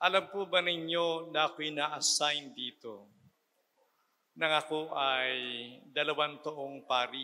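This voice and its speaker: At a fairly slow pace with long, frequent pauses, a man speaks in a fairly high pitch with fairly even intonation. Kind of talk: sermon.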